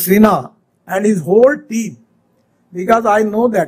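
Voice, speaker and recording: This man talks at a fairly slow pace in a high-pitched voice with ordinary pitch variation. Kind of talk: public speech. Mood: cheerful, smiling. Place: hall. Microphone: podium.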